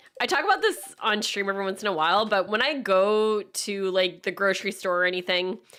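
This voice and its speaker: With noticeable background noise, a woman speaks at a fairly quick pace with fairly even intonation and hardly any pauses. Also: medium pitch for a woman. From Acadia, Atlantic Canada. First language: French. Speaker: gaming streamer. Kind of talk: casual chat. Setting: live stream.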